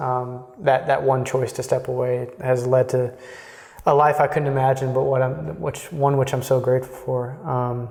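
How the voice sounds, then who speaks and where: Moderately paced, fairly evenly intoned speech in a Texan accent, with noticeable background noise. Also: man. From Texas. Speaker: Jesuit in formation. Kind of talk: interview conversation. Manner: halting, many fillers.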